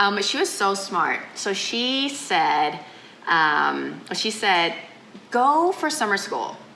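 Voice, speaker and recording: A woman speaks very slowly, with audible room echo and noticeable background noise. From Thailand (Bangkok), half Thai half American. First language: Thai. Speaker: chef and restaurant owner. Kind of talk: interview. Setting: in a restaurant.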